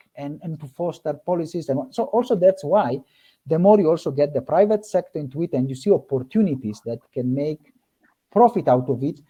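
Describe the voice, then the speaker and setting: Over a quiet background, a man with a fairly high voice and a dark, mellow tone speaks with lively intonation. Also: big swings in loudness. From born in Africa, Italian background. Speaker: nonprofit regional manager. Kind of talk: panel discussion. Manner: halting.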